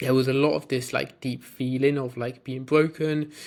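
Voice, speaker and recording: This man speaks in a British accent at medium pitch and a moderate pace. His intonation is monotone and flat. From UK (moved from Bulgaria at seven). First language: Bulgarian. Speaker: fitness business coach. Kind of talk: personal story to camera. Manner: hesitant, many fillers and repeats.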